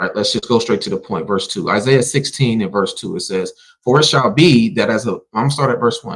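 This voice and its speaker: With a normal speaking voice, a man talks at a medium pitch and with lively intonation. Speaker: Bible teacher. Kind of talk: Bible class live stream.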